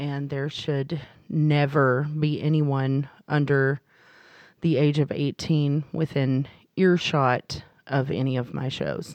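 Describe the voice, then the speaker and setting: Speech at a very slow pace comes in an American accent with monotone, flat intonation. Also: woman, very deep, low pitch for a woman. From Texas, small town. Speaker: comedian. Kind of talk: interview.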